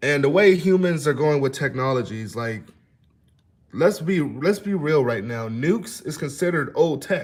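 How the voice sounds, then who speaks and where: Somewhat breathy, a man with a fairly high pitch speaks at a moderate pace with lively intonation. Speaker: livestream news commentator. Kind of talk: casual livestream commentary. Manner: stammering at times; casual, conversational.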